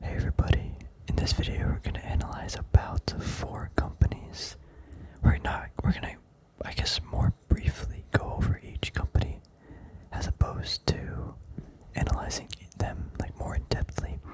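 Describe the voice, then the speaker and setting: Someone whispers at a moderate pace in a relaxed tone. Noticeable background noise runs behind the voice. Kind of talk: whispered ASMR stock analysis. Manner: whispered; relaxed, rambling.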